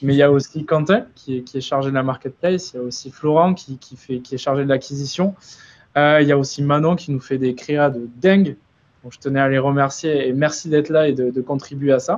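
A man's plain, everyday voice, fairly high in pitch, at a fairly quick pace, with fairly even intonation and big swings in loudness. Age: 20s. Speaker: influencer marketing agency founder. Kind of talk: webinar presentation. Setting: live stream.

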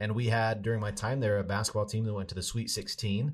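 A man's fairly low, somewhat breathy voice with an American accent, in a very clean recording over a silent background. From Idaho, US. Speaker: sports video producer, former sportscaster. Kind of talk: interview.

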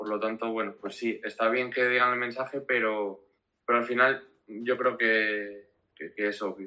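A man speaks at a fairly slow pace in a bright, sharp tone, his intonation monotone and flat. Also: medium pitch for a man. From Spain, Asturias (Gijón). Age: 20s. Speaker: social media manager for a music festival. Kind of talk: interview on a live stream. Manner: halting, many fillers and repetitions.

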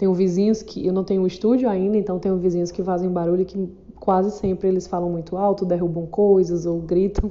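She talks at a fairly quick pace, with a medium pitch. Her intonation is flat and monotone throughout. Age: 40s. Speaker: podcaster. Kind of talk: casual monologue.

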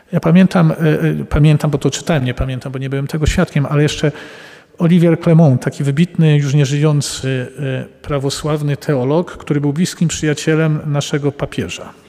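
Against noticeable background noise, a man with a fairly high pitch talks at a fairly quick pace and fairly even intonation. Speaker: Jesuit priest and psychotherapist. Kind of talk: public talk answering audience questions. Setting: live event with audience.

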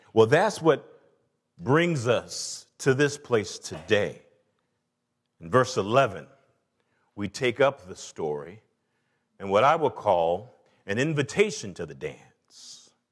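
A man with an Atlanta accent at a very slow pace, with vocal fry, very wide pitch swings, big swings in loudness and long, frequent pauses, over a quiet background. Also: medium pitch for a man. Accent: Southern US (Atlanta). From US South, Atlanta. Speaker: pastor. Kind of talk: sermon. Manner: animated.

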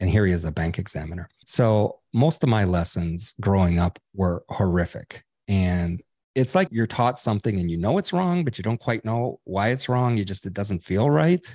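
A man with an unremarkable speaking voice talks at a moderate pace with a fairly low pitch. The sound is dry and close with no echo, over a quiet background. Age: 60s. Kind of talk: interview.

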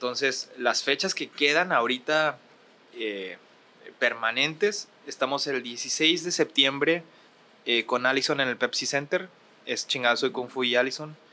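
With a northern Mexican accent, a man speaks at a fairly slow pace. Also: ordinary pitch variation. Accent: Ciudad Juárez, northern Mexican. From Ciudad Juárez, northern Mexico. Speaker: musician and producer. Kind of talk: casual chat. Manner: hesitant, repeats words.

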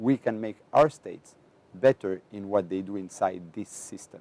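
A man speaks with a Greek accent at a fairly low pitch, with ordinary pitch variation and a dry, close sound with no echo. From Greece, island of Andros. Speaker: education officer at an international organization. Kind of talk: interview.

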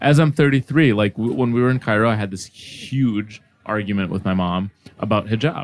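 The speech has a dry, close sound with no echo, ordinary pitch variation and a fairly quick pace. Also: man, fairly low pitch for a man. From Egypt, moved to US as a child. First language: Arabic. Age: 30s. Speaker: podcast host. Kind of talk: casual chat. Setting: studio.

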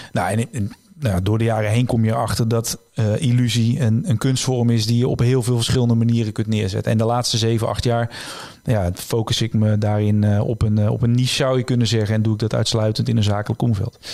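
Very fast and in a monotone, flat intonation, a man at medium pitch speaks with a dark, mellow tone and very even loudness. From Netherlands, North Brabant (Tilburg area). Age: 30s. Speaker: illusionist and author. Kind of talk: interview.

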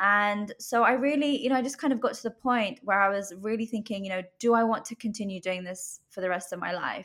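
A woman's medium-pitched voice with a British accent, bright and sharp in tone, at a moderate pace with ordinary pitch variation, on a very clean recording with a silent background. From UK. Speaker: life coach. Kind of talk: interview.

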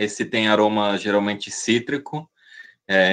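An unremarkable speaking voice moves at a fairly slow pace against a quiet background. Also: man. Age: 30s. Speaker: snuff maker and seller. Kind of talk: casual interview.

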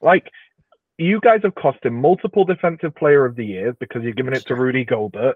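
Very wide pitch swings run through a man's medium-pitched voice as he talks at a fairly quick pace. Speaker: podcast co-host. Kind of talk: casual chat. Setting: remote recording.

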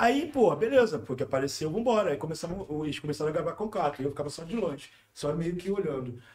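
Fairly quick and high-pitched, this man's voice swings very widely in pitch. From Rio de Janeiro (Manguinhos favela). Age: 40s. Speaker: youtuber. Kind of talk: casual chat. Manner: animated.

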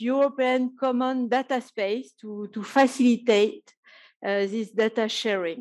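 The background is quiet. A woman talks fairly slowly in a high voice with ordinary pitch variation. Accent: French. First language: French. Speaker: professor. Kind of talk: conference panel talk.

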